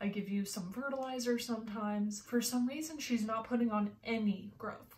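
Against noticeable background noise, a woman talks with fairly even intonation. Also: moderate pace. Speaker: houseplant YouTuber. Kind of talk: casual talk to camera.

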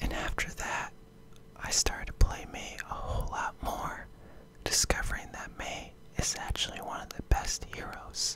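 A whispering man at a moderate pace, with big swings in loudness. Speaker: gaming YouTuber. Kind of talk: casual talk to camera. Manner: casual, opinionated, slangy.

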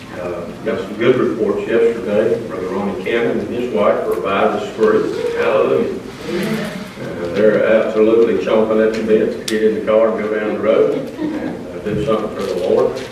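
Noticeable background noise and strong room echo fill the recording. A man speaks at a moderate pace. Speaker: Sunday school teacher. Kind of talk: church announcements and prayer requests. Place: church.

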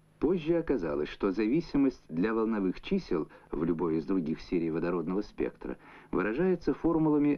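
A man with a fairly low pitch talks at a moderate pace, his voice making very wide pitch swings. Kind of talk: 1970s Soviet educational film narration, scripted voice-over. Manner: formal, measured, even-paced and authoritative, with a didactic newsreel-style delivery. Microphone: old recording.

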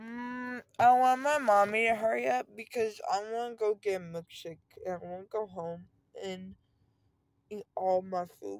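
A woman talks at a fairly slow pace with ordinary pitch variation and big swings in loudness. The sound is dry with no echo, over a quiet background. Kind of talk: casual vlog chat. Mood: groggy, loopy after anesthesia. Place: car. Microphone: phone near.

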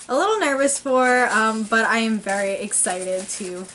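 Light background noise behind a woman speaking with ordinary pitch variation. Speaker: model horse collector vlogger. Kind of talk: casual vlog chat. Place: home room. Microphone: camera far.

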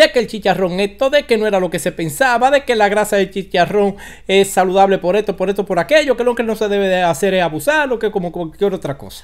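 Animated and very fast, a man with a Dominican accent speaks at a high pitch. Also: ordinary pitch variation, quiet background. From Dominican Republic. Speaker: online commentator. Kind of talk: casual vlog commentary. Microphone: studio mic.

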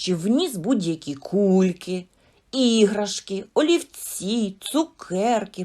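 What comes through is an unforced reading voice.

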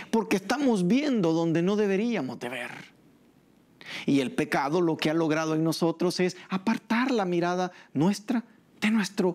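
A man's high-pitched voice at a fairly slow pace. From El Salvador. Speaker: pastor. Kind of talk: sermon. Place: church. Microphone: lapel.

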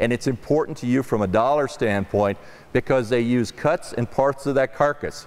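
A man speaks at a moderate pace and medium pitch. His slightly mellow tone carries ordinary pitch variation.

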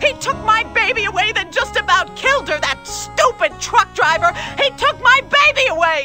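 In a put-on character voice, a female-sounding speaker goes shrill at an extremely high pitch, keeping a moderate pace over clear music in the background. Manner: grieving and angry.

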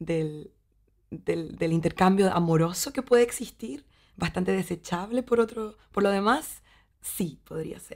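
Speaking in a Chilean accent, a woman uses lively intonation at a fairly slow pace and a medium pitch. Her loudness swings widely, against a quiet background. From Chile, Valdivia. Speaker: actress and theatre teacher; actress, theatre teacher. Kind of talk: interview monologue. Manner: halting, with repetitions and fillers. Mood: warm, thoughtful. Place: studio.

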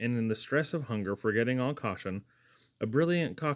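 With lively intonation, a natural voice reads some text aloud.

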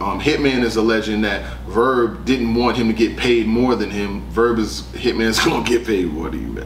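A moderate pace with audible room echo and light background noise. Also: man. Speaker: battle rap commentator. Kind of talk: casual commentary. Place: studio.

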